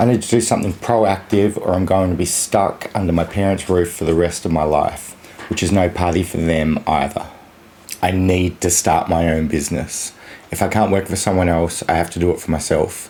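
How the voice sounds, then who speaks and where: Speaking with an Australian accent, a man with a very deep, low pitch keeps fairly even intonation at a moderate pace over noticeable background noise. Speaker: vlogger. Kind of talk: casual vlog monologue.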